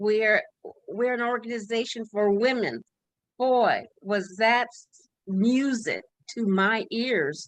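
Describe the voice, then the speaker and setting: A woman talks very slowly at a fairly high pitch, and her pitch varies in an ordinary way. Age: 70s. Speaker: executive director of a nonprofit. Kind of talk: interview. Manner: hesitant, many filler words.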